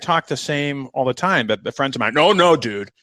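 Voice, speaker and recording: Through a very clean recording with a silent background, a man talks at a very fast pace with a bright, sharp tone. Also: dry, close sound with no echo. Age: 50s. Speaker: retired police commander. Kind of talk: casual interview chat. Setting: podcast. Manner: halting.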